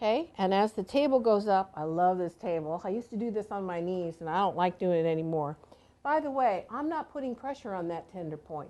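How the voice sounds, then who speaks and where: A woman with a normal speaking voice, medium pitch, lively intonation and a fairly quick pace. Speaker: massage therapist and instructor. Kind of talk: live demonstration tutorial.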